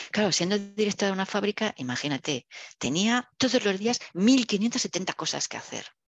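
A woman with an ordinary speaking voice, medium pitch and lively intonation talks at a moderate pace, in a dry, close sound with no echo and a quiet background. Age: 60s. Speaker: engineer and business executive. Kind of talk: interview.

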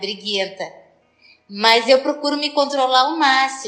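A woman's high-pitched voice. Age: 60s. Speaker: person with Parkinson's. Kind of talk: personal testimony.

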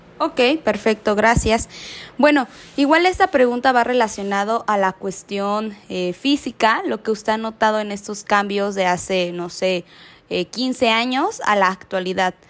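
In a plain, everyday voice, a woman speaks at a fairly high pitch and a fairly slow pace, with ordinary pitch variation. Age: young. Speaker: student interviewer. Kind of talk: interview.

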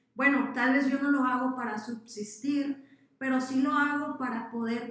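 Audible room echo surrounds a woman's high voice as she talks at a moderate pace with a monotone, flat intonation. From Mexico, Sinaloa. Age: 20s. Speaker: social entrepreneur. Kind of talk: interview.

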